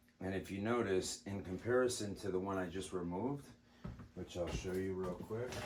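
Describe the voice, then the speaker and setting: A man speaks at a moderate pace in a very deep, low voice with fairly even intonation, and room echo is audible. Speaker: airgun hobbyist. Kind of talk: tutorial. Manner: soft-spoken.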